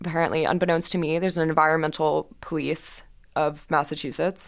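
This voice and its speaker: The recording is very clean, with a silent background. A woman with an American accent speaks at a fairly quick pace in a flat monotone. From Texas, Houston. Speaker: student journalist. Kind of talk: interview. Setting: studio.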